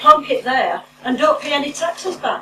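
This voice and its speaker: A raised, projected voice carries at a moderate pace over noticeable background noise. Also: woman. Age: 70s. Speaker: former MP and campaign speaker. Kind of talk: public speech at meeting. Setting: public meeting with audience. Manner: impassioned.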